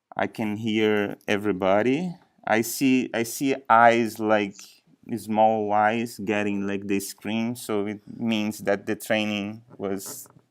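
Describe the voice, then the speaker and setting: A man with a strong non-native accent speaks very slowly in a fairly low voice, his intonation fairly even. The recording is very clean, with a silent background. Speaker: software trainer. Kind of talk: training session. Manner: halting.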